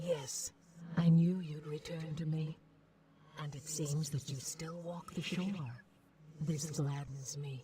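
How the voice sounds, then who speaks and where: In a put-on character voice of middle pitch, the speaker moves at a fairly slow pace with a calm tone and long, frequent pauses. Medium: video game. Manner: calm, enigmatic.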